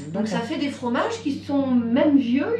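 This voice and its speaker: Light background noise sits under the voice, with audible echo from the room. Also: woman. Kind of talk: explanation to a visitor. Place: shop. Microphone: camera far.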